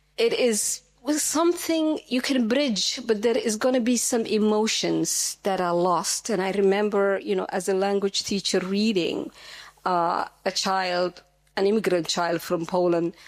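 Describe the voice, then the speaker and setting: A woman with a Somali accent speaks at a medium pitch and a fairly slow pace, her loudness very even and her intonation lively. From Somalia. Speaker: audience member, language teacher. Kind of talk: panel discussion comment.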